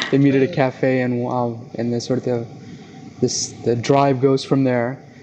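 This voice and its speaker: Monotone, flat intonation marks this man's medium-pitched speech, delivered at a moderate pace amid noticeable background noise. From South Jersey, US. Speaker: publisher and magazine editor. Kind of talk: interview conversation.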